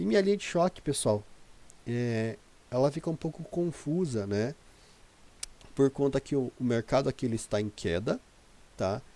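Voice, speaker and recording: At a moderate pace and medium pitch, a man speaks in a dark, mellow tone with lively intonation and long, frequent pauses. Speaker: day trader. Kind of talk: tutorial. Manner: hesitant, many filler words.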